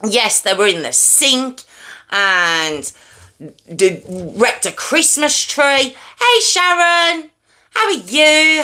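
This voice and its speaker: Using a raised, projected voice, a woman speaks at a very slow pace with very wide pitch swings. Her tone is high, bright and sharp. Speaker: true crime livestream host. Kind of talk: casual chat with live chat viewers. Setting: livestream with headphones. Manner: loud.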